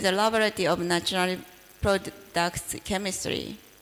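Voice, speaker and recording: Ordinary pitch variation marks the speech of a woman with a Japanese accent. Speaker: professor. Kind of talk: lecture. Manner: halting.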